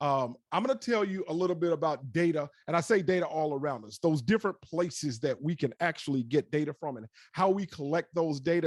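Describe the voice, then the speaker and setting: An animated man with an American accent talks at a fairly quick pace with lively intonation. The sound is dry and close, with no echo. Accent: Southern US, sometimes stronger. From US South. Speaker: digital analytics specialist, tech talk speaker. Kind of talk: presentation. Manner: fast when excited.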